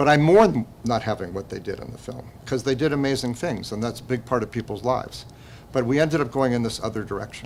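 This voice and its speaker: Over noticeable background noise, a man at medium pitch speaks at a very fast pace with ordinary pitch variation. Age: 70s. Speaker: documentary filmmaker, former river guide. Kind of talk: festival interview. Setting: film festival interview. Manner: halting.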